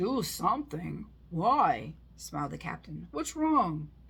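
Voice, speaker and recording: A woman puts on a character voice, raspy in sound. She speaks at a fairly slow pace. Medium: read story. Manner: breezy, self-assured.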